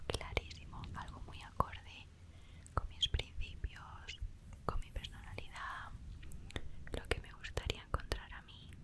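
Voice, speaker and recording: Soft-spoken whispering at a very slow pace in a gentle tone. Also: woman. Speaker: ASMR creator. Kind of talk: soft-spoken ASMR life-story chat. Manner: gentle ASMR whisper. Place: home room. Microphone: studio mic.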